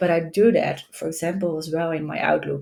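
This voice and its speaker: A woman's very deep, low voice with a Dutch accent and fairly even intonation. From Netherlands. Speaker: tech executive and AI consultant. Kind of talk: podcast interview. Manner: halting, many repetitions.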